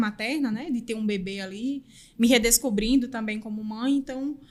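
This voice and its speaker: Speaking at a moderate pace with a northeastern Brazilian accent, a woman with a fairly high, somewhat breathy voice keeps her intonation fairly even on a very clean recording with a silent background. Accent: northeastern Brazilian accent, noticeable. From Northeast Brazil, interior of Pernambuco. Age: 30s. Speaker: podcast guest, recruiter. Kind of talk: interview conversation.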